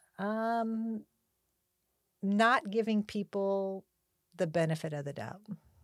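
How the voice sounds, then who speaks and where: A woman with a Californian accent speaks at a very slow pace, leaving long, frequent pauses, at a medium pitch with ordinary pitch variation. The recording is very clean with a silent background and a dry, close sound with no echo. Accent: Californian American. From Southern California, Los Angeles County. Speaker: school principal. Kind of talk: interview.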